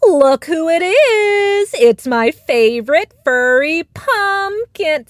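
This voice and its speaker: Putting on a character voice, a woman speaks extremely high with very wide pitch swings, at a very slow pace with hardly any pauses. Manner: teasing, then dry.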